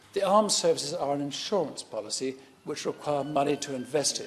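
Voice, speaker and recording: Lively intonation marks this man's speech, delivered at a moderate pace. He has a British accent. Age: 60s. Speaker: member of parliament, army veteran. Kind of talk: parliamentary debate speech. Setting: parliament chamber.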